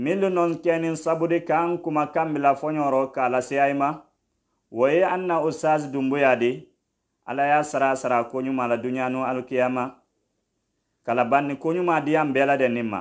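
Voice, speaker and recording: A man's fairly even intonation and fairly quick pace come through with a quiet background behind him. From Guinea, Dabola; Guinea. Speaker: Islamic preacher on radio. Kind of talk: radio sermon. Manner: formal. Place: studio. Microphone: studio mic.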